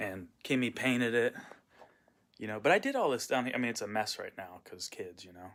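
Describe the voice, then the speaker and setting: This man has an American accent and talks at a fairly quick pace. His loudness swings widely. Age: 30s. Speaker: vlogger and punk cover musician. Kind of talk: casual vlog monologue. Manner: casual, lots of filler words.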